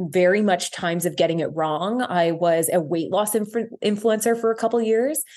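A plain, everyday voice in a Canadian accent, at a moderate pace with ordinary pitch variation, over a quiet background. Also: woman. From Ontario, Canada. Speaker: social media creator and body confidence advocate. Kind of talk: interview conversation. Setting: studio.

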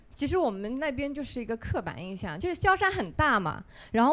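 Recorded very cleanly over a silent background, a woman speaks at a high pitch with very wide pitch swings. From Xiaoshan, Hangzhou. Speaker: audience member. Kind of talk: casual chat. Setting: live recording with audience. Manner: confident and decisive.

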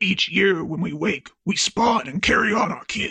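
Here is plain reading aloud. The pitch varies in an ordinary way.

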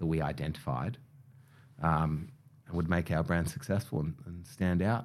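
A man with an Australian accent speaks in a very deep, low pitch. His intonation is lively, broken by long, frequent pauses. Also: moderate pace. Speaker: hair care brand co-founder. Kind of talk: interview.

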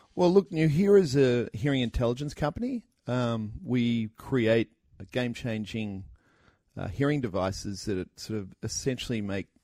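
In an Australian accent, a man talks at a moderate pace with a medium pitch. His tone is dark and mellow, with lively intonation. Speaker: startup co-founder. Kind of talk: interview. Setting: studio.

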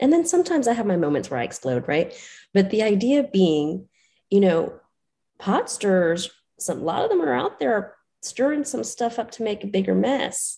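The voice has a dark, mellow tone with vocal fry and very wide pitch swings. The background is quiet. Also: woman, medium pitch for a woman, moderate pace. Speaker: spiritual guide and teacher.

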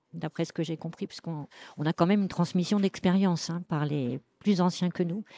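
A woman speaks at a fairly low pitch with a dark, mellow tone. The sound is dry and close, with no echo. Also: very clean recording, silent background. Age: 70s. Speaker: association member. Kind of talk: interview testimony.

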